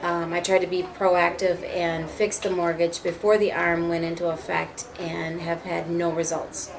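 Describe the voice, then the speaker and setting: Amid noticeable background noise and audible room echo, a woman with an American accent speaks at a moderate pace in a fairly low pitch with monotone, flat intonation. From US Midwest, Minneapolis. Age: 40s. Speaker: homeowner facing foreclosure. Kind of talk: interview.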